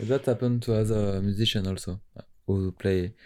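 A dark, mellow voice with a French accent and fairly even intonation comes through on a very clean recording with a silent background. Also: man. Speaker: musician. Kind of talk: interview. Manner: halting, searching for English words.

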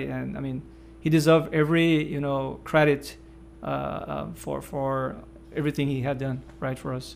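A man with a Portuguese accent speaks at a moderate pace over noticeable background noise. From northeast Brazil. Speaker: podcast host and researcher. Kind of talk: podcast interview.

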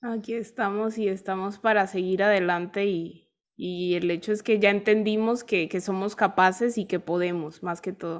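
A woman speaks in an ordinary speaking voice at medium pitch and a moderate pace, with fairly even intonation. She barely pauses, and the background is quiet. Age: 20s. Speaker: podcast host. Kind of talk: interview.

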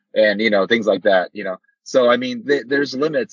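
A man with a normal speaking voice talks at a fairly quick pace with fairly even intonation. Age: 50s. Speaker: amateur triathlete. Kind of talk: casual interview.

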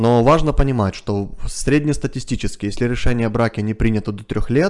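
Over a quiet background, a man with a plain, everyday voice talks at a moderate pace, his medium pitch carrying lively intonation. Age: 30s. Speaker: family psychologist. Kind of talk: interview. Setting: studio.

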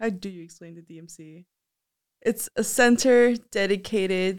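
Recorded very cleanly over a silent background, a plain, everyday voice speaks with ordinary pitch variation. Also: woman. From US, child of Mexican immigrants. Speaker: college student leader. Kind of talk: casual interview.

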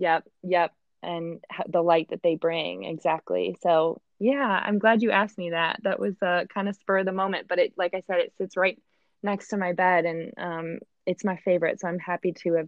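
A woman with a Midwestern American accent speaks at a moderate pace and a fairly low pitch with fairly even intonation. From Michigan. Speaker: advertising agency worker. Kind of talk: casual interview.

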